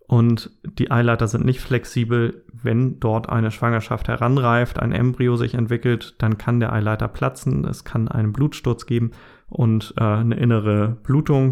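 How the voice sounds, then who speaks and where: A man with a plain, everyday voice speaks at a medium pitch and a fairly slow pace with fairly even intonation, on a very clean recording with a silent background. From northern Germany. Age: 30s. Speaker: podcast host and blogger. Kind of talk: personal monologue podcast.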